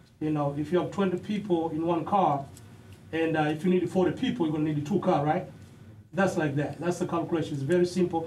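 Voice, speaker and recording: Loud and very fast, a man with a high voice keeps his intonation fairly even amid audible room echo. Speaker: student presenter, pharmacy technician. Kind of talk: classroom demonstration presentation. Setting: classroom.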